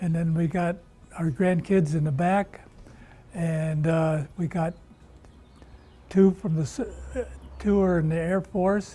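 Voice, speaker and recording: With music in the background, a man with an American accent and a high pitch speaks at a very slow pace, leaving long, frequent pauses. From Illinois, US Midwest. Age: 80s+. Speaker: retiring barbershop owner. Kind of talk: news interview. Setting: barbershop.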